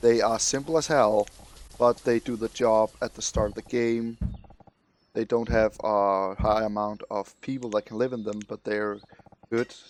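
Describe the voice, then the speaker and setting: The sound is dry and close, with no echo. A man with an unremarkable speaking voice talks at medium pitch with fairly even intonation. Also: moderate pace. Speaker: gaming commentator. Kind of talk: let's play commentary.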